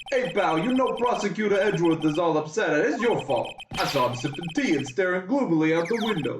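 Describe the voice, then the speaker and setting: A put-on character voice, gruff and at a middle pitch. The pace is fairly quick. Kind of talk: casual, folksy.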